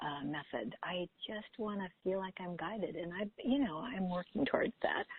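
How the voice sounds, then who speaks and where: A woman's plain, everyday voice at a moderate pace, with lively intonation. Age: 60s. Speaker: caller. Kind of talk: personal testimony.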